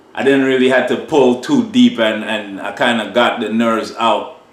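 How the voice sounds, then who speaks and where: A man of medium pitch speaks at a moderate pace with ordinary pitch variation, with audible room echo and noticeable background noise. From Trinidad. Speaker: sound system selector. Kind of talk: casual interview. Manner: animated.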